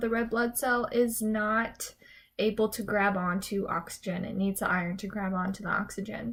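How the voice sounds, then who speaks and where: Mumbling at a moderate pace, a woman speaks with a fairly high pitch. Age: 20s. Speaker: nurse practitioner student; runner. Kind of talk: casual talk to camera.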